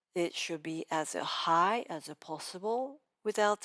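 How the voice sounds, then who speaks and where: A woman's very slow speech in a Japanese accent, with ordinary pitch variation, on a very clean recording with a silent background and a dry, close sound with no echo. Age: 50s. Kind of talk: pronunciation lesson talk to camera.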